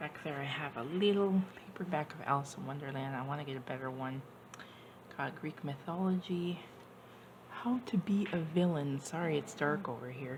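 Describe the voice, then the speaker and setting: The speaker, with an American accent, is heard over noticeable background noise. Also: woman, very deep, low pitch for a woman, ordinary pitch variation, moderate pace. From Washington state, US. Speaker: YouTuber. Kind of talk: casual show-and-tell vlog. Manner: animated.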